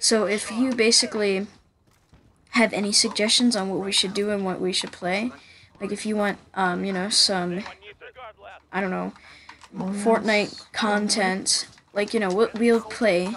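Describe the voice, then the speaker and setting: A woman with an American accent talks at a moderate pace in a monotone, flat delivery, leaving long, frequent pauses amid noticeable background noise. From Pennsylvania, USA. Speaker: gaming YouTuber. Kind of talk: casual channel trailer talk.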